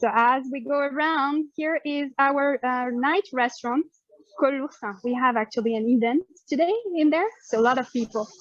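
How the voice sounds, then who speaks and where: This woman, with a French accent, has a high pitch and ordinary pitch variation, speaking at a moderate pace in a dry, close sound with no echo. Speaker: hotel staff member giving a tour. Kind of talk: live guided tour. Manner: casual, with many fillers.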